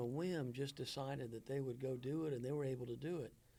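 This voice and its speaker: A man speaks at a fairly quick pace with a somewhat breathy voice. His pitch sits in the medium range, and his tone is dark and mellow. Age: 60s. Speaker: minister. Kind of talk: casual chat.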